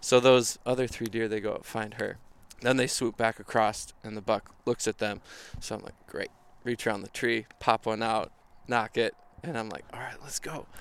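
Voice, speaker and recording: A man speaks with an Upper Midwest accent. His intonation stays monotone and flat while his loudness swings widely. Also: medium pitch for a man, moderate pace. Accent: Upper Midwest American. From Minnesota. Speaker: photographer. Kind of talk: casual chat. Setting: outdoors around a bonfire.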